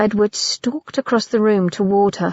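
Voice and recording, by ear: A natural voice, reading aloud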